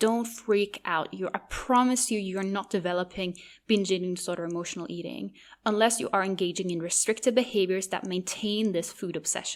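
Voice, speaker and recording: Speaking with a Norwegian accent, a woman uses a medium pitch and ordinary pitch variation on a very clean recording with a silent background. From Norway. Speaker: podcast host. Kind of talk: podcast monologue.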